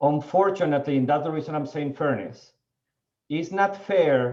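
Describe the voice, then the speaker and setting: With a non-native accent, a man speaks at a moderate pace in a fairly high pitch, with ordinary pitch variation. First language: not English. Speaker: panelist on diversity in the seed industry. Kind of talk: panel discussion. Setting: webinar video call.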